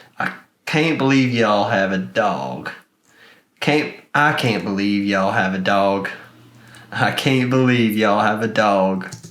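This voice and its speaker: A man puts on a drawling character voice, fairly low in pitch with lively intonation, moving at a fairly slow pace with long, frequent pauses amid audible echo. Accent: Southern US. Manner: instructional demo, repeating the phrase.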